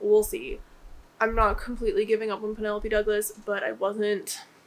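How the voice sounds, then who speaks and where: A woman with a plain, everyday voice, fairly high in pitch, at a fairly quick pace. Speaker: booktuber. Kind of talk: casual vlog talk. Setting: home office. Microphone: echoey room.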